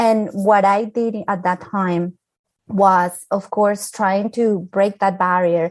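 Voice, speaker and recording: Very slow and monotone, a woman's flat delivery stays at a medium pitch. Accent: Spanish. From Colombia. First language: Spanish. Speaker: architect, professional association leader. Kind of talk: panel discussion, personal testimony.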